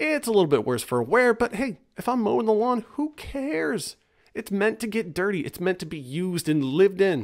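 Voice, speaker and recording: A man's high-pitched voice makes very wide pitch swings at a moderate pace. The background is quiet. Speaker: voice actor. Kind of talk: casual talk to camera. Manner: humorous. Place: home room. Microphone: studio mic.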